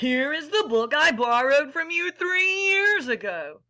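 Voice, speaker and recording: A woman's put-on character voice at a high pitch. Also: moderate pace. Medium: read story.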